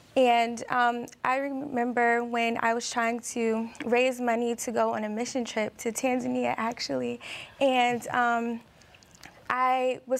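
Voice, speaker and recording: Talking at a fairly slow pace, a woman uses a fairly high pitch. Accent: American. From Maryland. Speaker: college student. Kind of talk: Bible study discussion.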